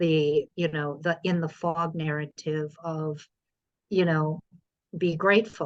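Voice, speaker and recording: A woman with an unremarkable speaking voice talks at a fairly slow pace and a fairly low pitch. The sound is dry and close, with no echo. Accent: American. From US Midwest, Indiana. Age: 50s. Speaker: poet and filmmaker. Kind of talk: podcast interview.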